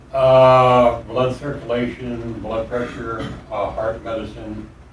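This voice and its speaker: Over noticeable background noise and audible room echo, a man speaks at a very slow pace in a medium pitch with monotone, flat intonation. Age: 70s. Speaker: convicted murder suspect. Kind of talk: police interrogation.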